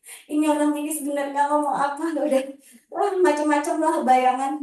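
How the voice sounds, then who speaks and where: A woman's dark, mellow tone with audible room echo. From Java, Banyuwangi. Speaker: public speaking trainer. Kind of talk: workshop talk. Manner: casual, conversational.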